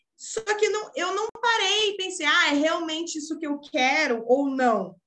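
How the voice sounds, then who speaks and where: A woman with a raised, projected voice, a bright, sharp tone and very wide pitch swings. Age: 20s. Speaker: social media manager, entrepreneur. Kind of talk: casual interview chat.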